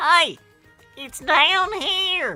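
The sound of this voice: Faint music plays behind a put-on character voice pitched extremely high.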